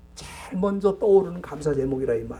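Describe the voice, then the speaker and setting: Lively intonation and a moderate pace from a man pitched high, with noticeable background noise behind him. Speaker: pastor. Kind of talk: sermon. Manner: rhetorical, addressing congregation.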